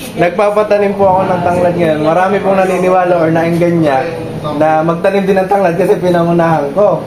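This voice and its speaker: Over noticeable background noise and audible room echo, the speaker talks at a fairly quick pace with very even loudness and a monotone, flat intonation. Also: man, high pitch for a man. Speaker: farming vlogger. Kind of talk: casual chat.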